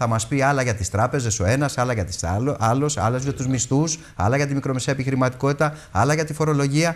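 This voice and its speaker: A very fast pace with ordinary pitch variation and hardly any pauses. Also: man, medium pitch for a man. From Greece. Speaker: European Parliament candidate; candidate. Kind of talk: heated debate. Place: studio. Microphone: lapel.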